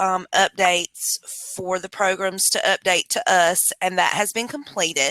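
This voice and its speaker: A woman speaks loudly in a bright, sharp tone, with a dry, close sound and no echo. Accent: North Carolina. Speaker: public health administrative and financial consultant. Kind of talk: webinar presentation. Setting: video call.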